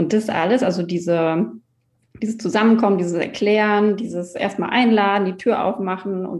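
This is a woman with an unremarkable speaking voice and a medium pitch. She talks at a moderate pace with ordinary pitch variation. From Mecklenburg-Western Pomerania, Germany. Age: 30s. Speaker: coworking space founder. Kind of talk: interview.

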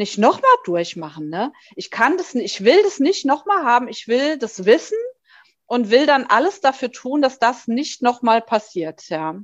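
Against a quiet background, a woman with a fairly high voice speaks with very wide pitch swings and big swings in loudness. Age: 40s. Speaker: breast cancer survivor and patient association board member. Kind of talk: interview testimony.

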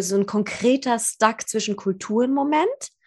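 A woman speaks at a moderate pace in a fairly high pitch. Her voice is somewhat breathy. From Germany, Persian family. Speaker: podcast host. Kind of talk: casual interview.

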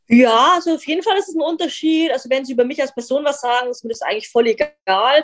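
A woman's high-pitched voice at a very fast pace, with lively intonation and hardly any pauses. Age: 20s. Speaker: vegan content creator and animal welfare activist. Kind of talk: casual interview.

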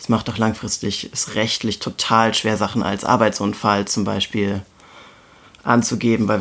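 Speaking at a fairly quick pace, a man uses a plain, everyday voice with a fairly low pitch. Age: 20s. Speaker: intensive care nurse. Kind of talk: casual conversation.

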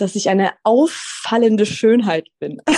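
Her dark, mellow tone comes through dry and close with no echo over a quiet background as this woman speaks at a fairly slow pace. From Swabia, southern Germany. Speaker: manifestation coach. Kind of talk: interview.

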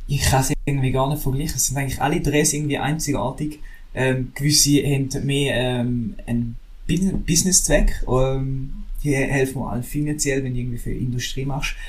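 A man speaks at a moderate pace in a fairly high pitch with fairly even intonation. Audible room echo surrounds his voice. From Switzerland, St. Gallen. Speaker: drone videographer. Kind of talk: casual chat.

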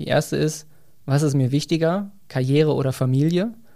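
The voice has a dark, mellow tone, heard in a very clean recording over a silent background. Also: man. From Germany, near Bielefeld (East Westphalia). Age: 30s. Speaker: marketing manager and new father. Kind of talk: interview.

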